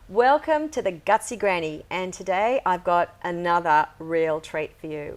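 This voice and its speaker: A woman with a normal speaking voice and medium pitch talks at a fairly slow pace, using lively intonation and hardly any pauses. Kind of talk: podcast host intro.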